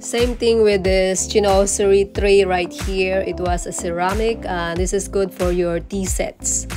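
A fairly slow pace of speech over clear music in the background. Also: woman. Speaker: home decor vlogger. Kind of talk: casual vlog chat. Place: shop. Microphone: phone near.

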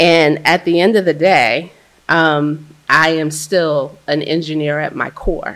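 An ordinary speaking voice from a woman with an American accent, fairly low pitch and ordinary pitch variation, quiet background. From US Mid-Atlantic (Baltimore); Mid-Atlantic. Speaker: water utility executive; speaker. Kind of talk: panel discussion. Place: hall.

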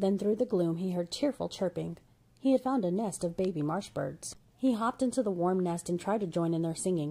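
Everything here is spoken in a natural reading voice.

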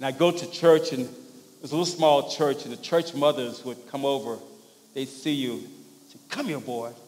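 A man with an American accent at a moderate pace, his intonation fairly even. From US South, rural Louisiana. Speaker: pastor. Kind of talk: sermon. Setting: church. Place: church.

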